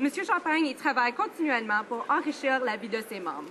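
The pitch swings very widely at a fairly quick pace. Noticeable background noise runs underneath. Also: woman. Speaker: member of parliament. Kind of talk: parliamentary member's statement in the House of Commons. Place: hall. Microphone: podium.

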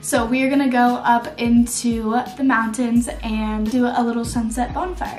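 A woman speaks in a high voice with fairly even intonation. Faint music plays behind her, and the room echo is audible. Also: moderate pace. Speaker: vlogger. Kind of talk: casual vlog chat. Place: home room. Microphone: camera far.

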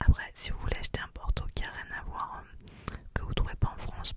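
Over loud background noise, a soft-spoken woman whispers at a moderate pace in a dry sound with no echo. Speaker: ASMR creator. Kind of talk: soft-spoken ASMR show-and-tell chat. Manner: close-mic soft whisper. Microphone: studio mic.

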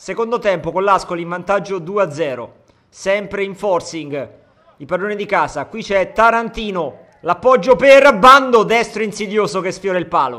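A man's high, raised and projected voice with lively intonation, a fairly slow pace and big swings in loudness. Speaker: sports commentator. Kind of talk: live sports commentary.

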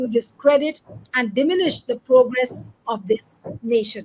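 This is a woman speaking. Her voice is high-pitched. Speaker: news show host. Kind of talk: news commentary introduction. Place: home room.

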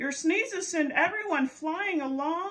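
A woman puts on a character voice with an extremely high pitch. She talks at a fairly slow pace with ordinary pitch variation. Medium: read story. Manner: alarmed, pleading.

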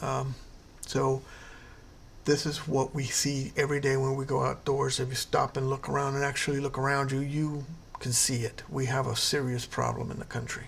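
Over light background noise, a man speaks at a moderate pace. His voice is somewhat breathy, with monotone, flat intonation. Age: 50s. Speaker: health educator video creator. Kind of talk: tutorial. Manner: casual with many fillers.

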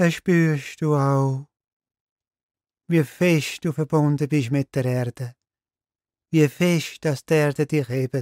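Calm in tone and fairly high in pitch, a man speaks very slowly with fairly even intonation and long, frequent pauses, on a very clean, silent recording with a dry, close sound and no echo. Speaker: meditation guide. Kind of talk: guided meditation. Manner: slow, calm, soft-spoken.

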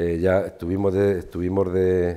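A man speaks with a very deep, low pitch and a dark, mellow tone. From Spain, Ciudad Real (La Mancha); Castile-La Mancha, Spain. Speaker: farmer and agricultural association leader; guest. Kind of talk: casual interview. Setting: studio with small audience. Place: studio. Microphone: lapel.

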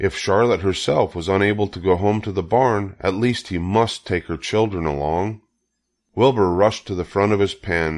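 Low-pitched for a man, his voice keeps a moderate pace and ordinary pitch variation.

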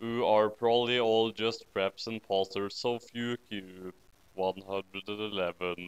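Speaking at a fairly slow pace, a man uses a fairly low pitch and fairly even intonation with a clear, smooth tone.

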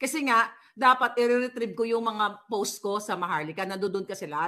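The woman's tone comes across bright and sharp. She talks fairly quickly. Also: very clean recording, silent background. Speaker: political vlogger. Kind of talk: livestream commentary.

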